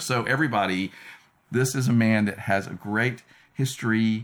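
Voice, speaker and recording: A man's normal speaking voice, medium in pitch, with ordinary pitch variation. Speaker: podcast host interviewer. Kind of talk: interview conversation.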